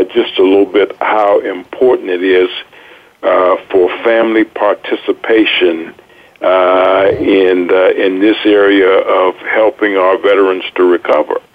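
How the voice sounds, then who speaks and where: Over noticeable background noise, a man with an American accent speaks at a fairly slow pace and a very even loudness. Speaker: radio co-host, retired army officer. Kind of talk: radio interview.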